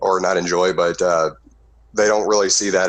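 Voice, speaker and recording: Here is a man with a very deep, low pitch. He speaks at a moderate pace. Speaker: online commentator. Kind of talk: recorded discussion on morality. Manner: halting, many fillers.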